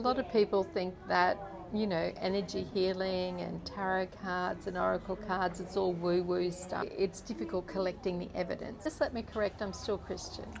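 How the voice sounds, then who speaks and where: Against noticeable background noise, a woman speaks at a moderate pace and medium pitch, keeping her intonation fairly even. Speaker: energy healer. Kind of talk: interview answer. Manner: soft-spoken.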